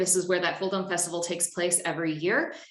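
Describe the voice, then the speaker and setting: In a room with audible echo, a woman with an American accent speaks at a fairly quick pace and a medium pitch. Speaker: conference presenter. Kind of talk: conference presentation.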